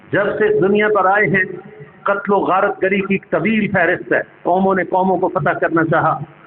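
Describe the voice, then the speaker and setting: A man's high-pitched voice in a monotone, flat intonation at very even loudness, with noticeable background noise. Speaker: Islamic scholar giving a sermon. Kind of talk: Islamic lecture / sermon (bayan).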